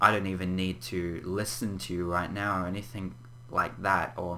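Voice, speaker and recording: A man with an Australian accent speaks fairly slowly in a very deep, low pitch with vocal fry, and the room echo is audible. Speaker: gaming YouTuber. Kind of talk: casual vlog update. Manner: halting, stumbles on words; frequent throat clearing.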